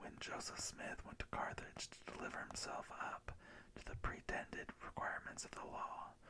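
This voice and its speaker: A man whispers in a calm tone. His pace is fairly slow. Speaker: ASMR creator reading scripture. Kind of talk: ASMR scripture reading. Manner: soft-spoken, calm.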